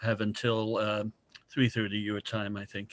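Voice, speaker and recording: Recorded with a dry, close sound and no echo, a man speaks at a medium pitch in a New Jersey accent with monotone, flat intonation. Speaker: early childhood mental health expert. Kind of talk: casual chat.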